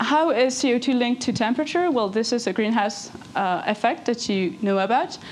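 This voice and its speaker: With a French accent and lively intonation, a high-pitched woman speaks against noticeable background noise. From France. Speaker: engineer giving a talk. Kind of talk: lecture. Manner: fast; halting.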